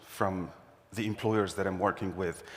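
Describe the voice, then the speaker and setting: This is a man speaking with an Arabic accent. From Syria. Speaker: employment services director. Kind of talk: conference talk.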